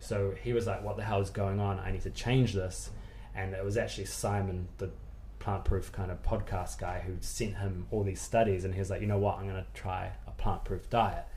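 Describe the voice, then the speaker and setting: A man with a New Zealand accent at a moderate pace, audible room echo around him. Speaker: nutritionist and personal trainer. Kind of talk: casual interview chat.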